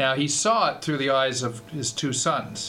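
A man at medium pitch and moderate pace, with audible room echo and noticeable background noise. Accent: Canadian. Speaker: university fundraising executive. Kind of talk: radio interview. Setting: radio studio.

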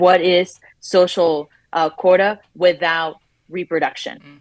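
A woman with a Spanish accent speaks in a fairly low voice. The recording is dry and close, with no echo. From Latin America. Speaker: reproductive justice advocate. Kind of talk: panel discussion. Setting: remote connection.

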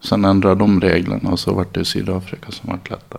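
A man speaks in a very deep, low voice. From Dalarna, Sweden (childhood in San Francisco until 13). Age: 40s. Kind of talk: interview.

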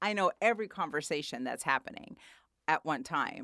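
A woman at a medium pitch talks at a fairly quick pace with very wide pitch swings and a bright, sharp tone, in a dry, close sound with no echo. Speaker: podcast host and comedian. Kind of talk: casual interview. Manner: loud.

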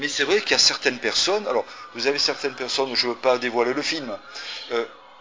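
A male speaker is heard. The recording carries noticeable background noise. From France. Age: 50s. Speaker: embalmer and author. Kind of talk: interview. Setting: cinema.

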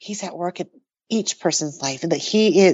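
This is an unremarkable speaking voice at a moderate pace. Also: woman. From New Mexico, US (born in Taiwan). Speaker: author and artist. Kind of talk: casual interview.

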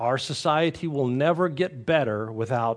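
A man at medium pitch speaks with lively intonation. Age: 60s. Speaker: pastor. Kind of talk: sermon.

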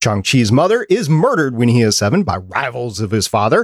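A man talks at a fairly quick pace with very wide pitch swings, in a very clean recording with a silent background and a dry, close sound with no echo. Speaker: podcast producer and host. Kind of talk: casual chat. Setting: live-streamed podcast recording.

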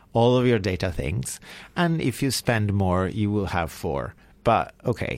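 Speech in an Italian accent moves at a fairly slow pace with very wide pitch swings. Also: man, fairly low pitch for a man. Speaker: radio co-host, co-founder of a repair project. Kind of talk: radio talk show, casual chat. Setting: radio studio.

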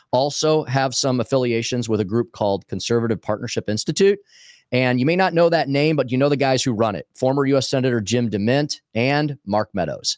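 In an American accent, a man with an ordinary speaking voice talks at a fairly quick pace and medium pitch with ordinary pitch variation, on a very clean recording with a silent background and a dry, close sound with no echo. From Missouri, St. Louis area. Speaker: talk radio host and former state politician. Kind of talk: political interview. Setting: studio.

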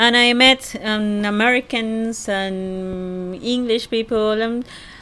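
With a Spanish accent, the voice has a bright, sharp tone and ordinary pitch variation. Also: woman. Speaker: host's fiancée. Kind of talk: casual conversation.

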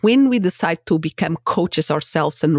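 A woman speaks with a Portuguese accent. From Portugal. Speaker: life coach and former psychotherapist. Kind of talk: interview conversation.

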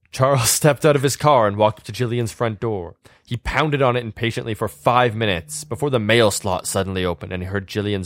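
An unforced reading voice carries the clip.

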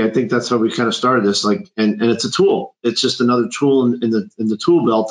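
At a fairly quick pace, a man talks in a plain, everyday voice of medium pitch. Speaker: financial advisor. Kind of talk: webinar discussion.

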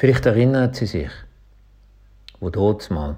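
In a very clean recording with a silent background, a man speaks at a moderate pace, somewhat breathy, with a dark, mellow tone. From Switzerland, Schaffhausen. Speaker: pastor. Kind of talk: short radio devotional.

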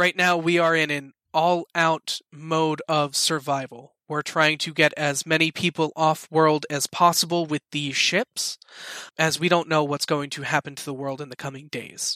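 In a put-on character voice, a man speaks at a moderate pace with a fairly high pitch. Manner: grave, earnest, dry.

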